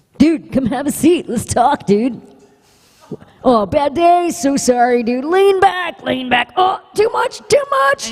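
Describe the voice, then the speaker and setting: A put-on character voice, high-pitched, at a fairly slow pace. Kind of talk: casual. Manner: laid-back, friendly, dude-like.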